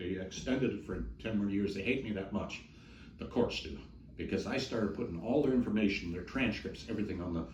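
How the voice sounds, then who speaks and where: Recorded with audible room echo, a man speaks at a fairly low pitch with ordinary variation and a somewhat breathy quality. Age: 60s. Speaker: ex cult member's husband. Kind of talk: interview testimony. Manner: halting.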